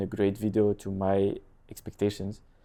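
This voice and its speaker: With a French accent, a man speaks in a dark, mellow tone. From France, Lille area (north). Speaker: real estate agent and content creator. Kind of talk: casual interview chat. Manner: halting.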